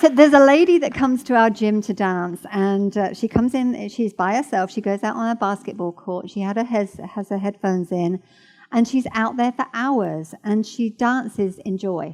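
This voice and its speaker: A woman's fairly high pitch in a normal speaking voice, with ordinary pitch variation at a moderate pace. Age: 60s. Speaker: church speaker. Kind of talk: sermon. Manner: casual, conversational.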